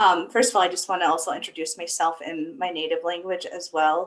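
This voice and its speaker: A woman speaks with an American accent. Her pitch is fairly low and her intonation fairly even. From US Southwest, Navajo reservation. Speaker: epidemiologist, panelist. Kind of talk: panel discussion. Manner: hesitant, many fillers.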